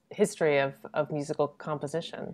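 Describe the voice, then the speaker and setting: Someone speaks at a moderate pace against a quiet background. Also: woman. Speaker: event host. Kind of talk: introduction of guests. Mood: warm, smiling. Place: home room. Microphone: video call.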